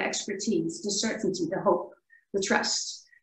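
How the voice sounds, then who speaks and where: A woman at a medium pitch with a Dutch accent. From Netherlands. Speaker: workshop participant. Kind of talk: online group discussion. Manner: hesitant, with fillers.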